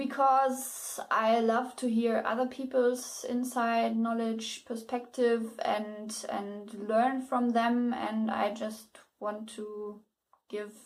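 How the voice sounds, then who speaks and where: In a room with audible echo, a woman speaks very slowly at a fairly high pitch with monotone, flat intonation. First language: German. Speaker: book reviewer and writing advice youtuber. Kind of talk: casual video blog. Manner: halting, many repetitions and fillers.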